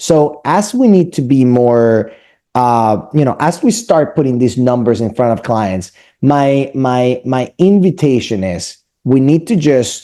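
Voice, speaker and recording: With a dark, mellow tone and medium pitch, a man speaks very slowly but with lively intonation. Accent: Spanish. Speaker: mortgage lender. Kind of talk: business presentation to real estate team. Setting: meeting with real estate team.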